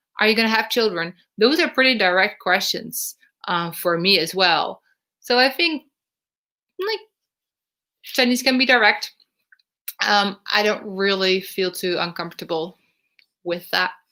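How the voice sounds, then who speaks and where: This woman speaks with a Dutch accent and a bright, sharp tone, leaving long, frequent pauses. The recording is very clean, with a silent background. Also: medium pitch for a woman, lively intonation, moderate pace. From northern Netherlands. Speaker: vlogger. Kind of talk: live stream Q&A. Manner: hesitant with many fillers.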